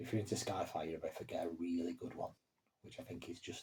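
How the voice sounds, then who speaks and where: A man talks very fast in a dark, mellow tone with a somewhat breathy quality. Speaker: horror story channel co-owner and writer. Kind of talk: casual vlog update to viewers. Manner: halting with fillers and stammers.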